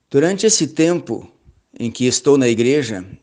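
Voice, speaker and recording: A man against a quiet background. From southern Brazil, Rio Grande do Sul (Pelotas). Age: 60s. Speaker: lecturer, church elder and biology teacher. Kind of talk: lecture. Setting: online seminar. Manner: halting.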